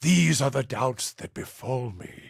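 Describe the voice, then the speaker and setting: Putting on a raspy character voice, a man speaks at a medium pitch and a fairly slow pace. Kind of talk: fantasy game companion monologue. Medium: video game. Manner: grave, measured, brooding.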